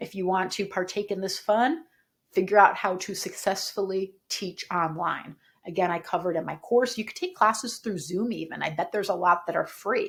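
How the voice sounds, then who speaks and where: An animated woman's voice at a moderate pace, with ordinary pitch variation. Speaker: yoga teacher and business coach. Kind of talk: tutorial. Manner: high energy, projected voice.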